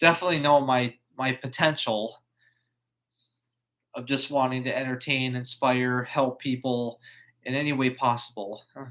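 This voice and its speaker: Bright and sharp in tone, a man speaks at a moderate pace with a medium pitch and fairly even intonation. He leaves long, frequent pauses. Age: 20s. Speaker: YouTuber. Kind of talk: live stream monologue. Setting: live stream on computer. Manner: halting, stuttering.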